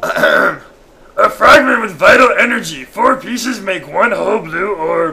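In a put-on character voice, a man speaks high and at a fairly slow pace. His voice is raised and projected.

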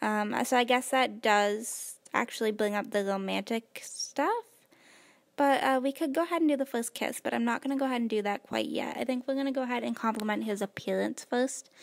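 A woman's high pitch with ordinary pitch variation, a relaxed tone and a fairly quick pace over a quiet background. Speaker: gaming youtuber. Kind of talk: let's play commentary. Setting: home recording. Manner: quieter than usual; low-energy, relaxed. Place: home room.

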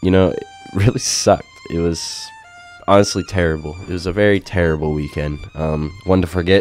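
With music in the background, a man talks at a fairly quick pace. His pitch is very deep and low, and his intonation is fairly even. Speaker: gaming YouTuber. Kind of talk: gameplay commentary. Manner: casual, hesitant with fillers.

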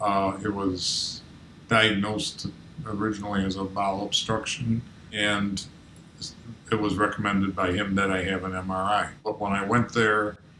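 In a room with audible echo and light background noise, a man speaks fairly slowly in a fairly low, flat, monotone voice. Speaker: interviewee. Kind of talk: interview answer. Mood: calm, matter-of-fact. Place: home room.

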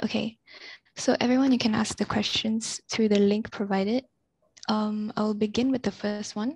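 Over a quiet background, a woman speaks at a moderate pace in a somewhat breathy voice with fairly even intonation, the sound dry with no echo. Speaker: student moderator. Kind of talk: event moderation. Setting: video call. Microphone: headset.

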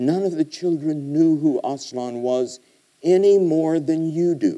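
A man speaks with a dark, mellow tone and ordinary pitch variation. The background is quiet. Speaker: guest lecturer. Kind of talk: lecture. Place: hall. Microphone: podium.

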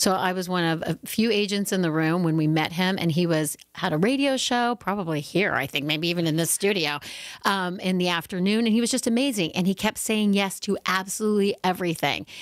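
A woman's voice at medium pitch, fairly quick pace with hardly any pauses, ordinary pitch variation, very even loudness, a quiet background and a dry sound with no echo. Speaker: former talent agent, career coach; career coach. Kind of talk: interview. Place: studio. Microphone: studio mic.

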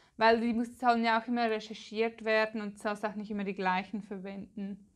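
A woman's fairly high, monotone, flat voice at a moderate pace against a quiet background. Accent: Swiss German. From Switzerland. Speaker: Pinterest marketing expert, content creator; content creator. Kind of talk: tutorial. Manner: casual, chatty.

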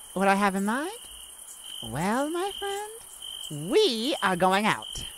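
Slow and fairly bright, a woman uses a put-on character voice at medium pitch with very wide pitch swings.

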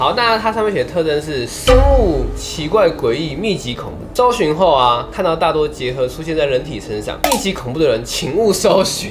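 A man speaking at a fairly quick pace, with clear music in the background. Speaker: youtube host. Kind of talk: casual vlog chat. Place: home room.

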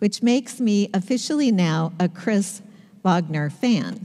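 A woman's dark, mellow tone at a very slow pace, over a quiet background. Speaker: pastor preaching. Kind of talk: sermon. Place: church.

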